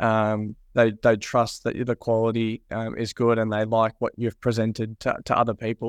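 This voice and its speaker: In an Australian accent, a man talks at a moderate pace with monotone, flat intonation, the sound dry and close with no echo against a quiet background. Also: medium pitch for a man, hardly any pauses. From Australia, Mornington Peninsula. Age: 20s. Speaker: photographer and business owner. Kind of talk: interview.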